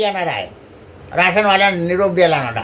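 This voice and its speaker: A man talks with a high pitch. Noticeable background noise runs behind him. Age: old. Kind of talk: casual dialect monologue.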